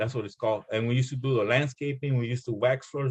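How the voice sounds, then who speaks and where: A man speaks at medium pitch in a somewhat breathy voice with ordinary pitch variation. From El Salvador. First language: Spanish. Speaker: former gang member and author. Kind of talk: casual interview. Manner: halting, many fillers and repetitions.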